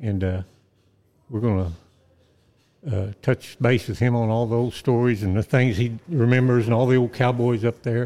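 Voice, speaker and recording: A man with an Oklahoma accent speaks at a moderate pace in a medium-pitched, dark, mellow tone, his intonation fairly even and his pauses long and frequent. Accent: Oklahoma rural Southern US. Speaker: podcast co-host, western historian and songwriter. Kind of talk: casual chat.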